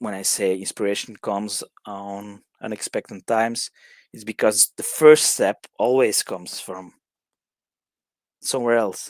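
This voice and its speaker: In a dry, close sound with no echo, a man with a fairly low pitch talks at a fairly slow pace with ordinary pitch variation. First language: Dutch. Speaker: songwriting workshop leader. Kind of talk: online workshop lecture. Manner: halting, many fillers and restarts.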